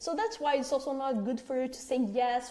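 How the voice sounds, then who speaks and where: Dark and mellow in tone yet high in pitch, a woman speaks with a non-native accent. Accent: foreign. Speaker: agency owner, marketing trainer. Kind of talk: training presentation. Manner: conversational, filler words.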